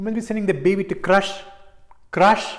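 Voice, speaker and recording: The voice is somewhat breathy, with an Indian accent. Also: man. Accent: Indian English (Tamil). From Chennai, India. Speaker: stand-up comedian. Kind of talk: stand-up comedy storytelling.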